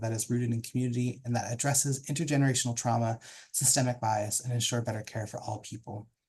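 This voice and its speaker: A man speaks very fast at a medium pitch, his voice somewhat breathy and his intonation fairly even. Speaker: professional development consultant, panel moderator. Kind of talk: moderated online panel introduction. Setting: video call.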